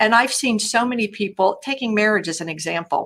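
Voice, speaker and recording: This woman talks fairly quickly, her pitch varying in an ordinary manner. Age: 60s. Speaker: public speaker and coach. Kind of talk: casual interview chat.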